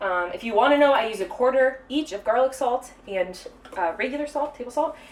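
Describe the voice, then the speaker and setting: With lively intonation, a woman speaks at a high pitch. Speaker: baker hosting a cooking stream. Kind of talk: live cooking tutorial. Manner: fast; casual with many fillers.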